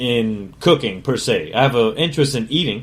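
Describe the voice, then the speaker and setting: Moderate pace and ordinary pitch variation. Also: man. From Connecticut, US (Meriden). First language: Spanish. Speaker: chef and podcast host. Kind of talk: casual autobiographical monologue. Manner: casual, profane, conversational.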